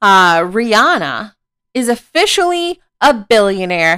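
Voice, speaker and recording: A woman with a fairly high pitch speaks in an animated tone. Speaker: podcast host. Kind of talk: casual solo gossip monologue.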